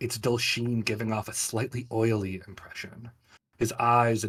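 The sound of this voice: The background is quiet behind this unforced reading voice.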